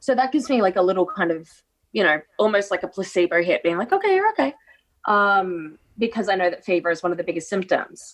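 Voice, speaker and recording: Talking at a very fast pace in an Australian accent, a woman uses lively intonation at a medium pitch. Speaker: co-host. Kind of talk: casual chat. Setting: video call.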